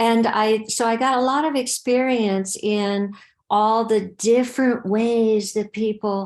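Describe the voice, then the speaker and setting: Fairly high in pitch, a woman speaks at a very slow pace. Her intonation stays fairly even. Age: 70s. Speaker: death doula workshop leader. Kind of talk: online Q&A session.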